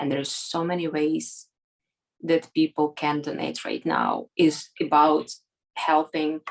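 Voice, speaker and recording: In a Ukrainian accent, the speaker talks at a fairly slow pace with a monotone, flat intonation. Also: woman. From Ukraine. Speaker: volunteer for a nonprofit. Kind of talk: interview. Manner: halting, many fillers.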